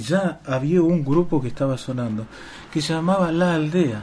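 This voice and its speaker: A man talks in a fairly high register while noticeable background noise fills the recording. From Argentina, Chubut (Patagonia). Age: 50s. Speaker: musician. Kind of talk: radio interview. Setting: radio studio.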